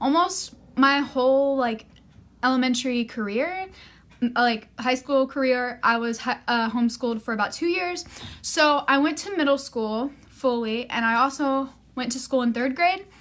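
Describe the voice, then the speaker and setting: Pitched high, a woman's voice runs at a moderate pace with ordinary pitch variation. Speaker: student. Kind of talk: class presentation vlog. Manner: casual with fillers.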